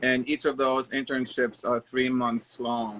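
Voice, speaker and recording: In a German accent, a man of medium pitch speaks at a fairly slow pace with fairly even intonation, the sound dry and close with no echo. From Germany (Stuttgart, Baden-Baden). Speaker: interior designer. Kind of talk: casual interview chat.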